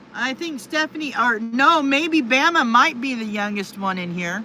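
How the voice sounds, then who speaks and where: A woman's raised, projected voice with very wide pitch swings at a fairly slow pace, against noticeable background noise. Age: 50s. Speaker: livestreamer, retired truck driver. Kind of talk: casual live stream chat reading viewer comments.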